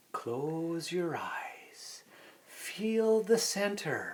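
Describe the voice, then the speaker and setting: The voice is a put-on character voice. Its pitch is fairly high. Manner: slow and calming.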